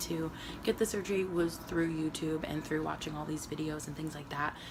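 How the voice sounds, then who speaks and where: A woman with a fairly low voice speaks amid noticeable background noise and audible room echo. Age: 20s. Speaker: vlogger. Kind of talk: personal video diary. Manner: hesitant, many fillers.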